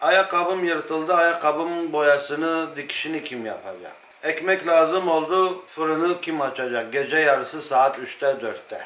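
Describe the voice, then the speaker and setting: A man's fairly high voice at a fairly slow pace with hardly any pauses and ordinary pitch variation, amid audible room echo. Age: 40s. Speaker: watchmaker. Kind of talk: interview. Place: workshop.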